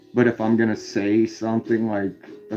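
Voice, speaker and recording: A man's medium-pitched voice with an Indiana accent. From US Midwest, Indiana. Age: 30s. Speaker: live streamer. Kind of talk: casual chat. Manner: halting, many fillers.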